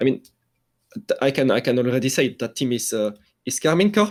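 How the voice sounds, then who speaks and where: With a French accent, a man speaks at medium pitch with lively intonation. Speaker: esports journalist. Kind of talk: casual interview. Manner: halting, many fillers and restarts.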